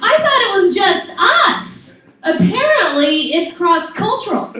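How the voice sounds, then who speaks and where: A woman's raised, projected voice at an extremely high pitch swings very widely and moves at a fairly slow pace, with audible room echo and noticeable background noise. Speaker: stand-up comedian. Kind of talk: stand-up. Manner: stutter.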